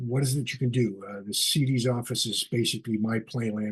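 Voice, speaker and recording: Somewhat breathy, the voice holds a fairly even intonation. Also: man. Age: 60s. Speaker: ad agency creative director. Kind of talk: solo video webcast talk. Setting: video call. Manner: casual, with many fillers.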